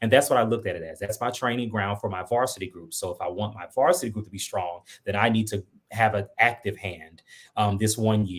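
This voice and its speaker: In a very clean recording with a silent background, a man speaks at a fairly quick pace in a fairly low, somewhat breathy voice. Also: ordinary pitch variation. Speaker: school administrator, former choir teacher. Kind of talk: interview. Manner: fast.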